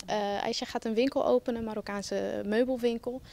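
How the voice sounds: Faint music plays behind a woman whose fairly high voice has a slightly mellow tone and vocal fry as she talks at a fairly quick pace.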